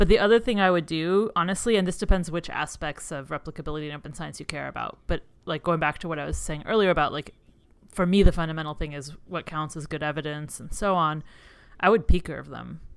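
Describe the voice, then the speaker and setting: Very fast and full of vocal fry, a woman speaks at a very deep, low pitch with ordinary pitch variation. Her loudness swings widely. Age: 30s. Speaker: psychology professor and podcast co-host. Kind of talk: casual chat. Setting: video call.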